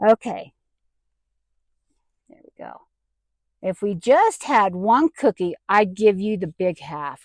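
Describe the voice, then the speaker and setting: A woman speaks at a very slow pace with long, frequent pauses, lively intonation, and big swings in loudness. The sound is dry and close, with no echo. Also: medium pitch for a woman. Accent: Southern US. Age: 60s. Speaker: vanlife vlogger. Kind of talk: casual talk to camera.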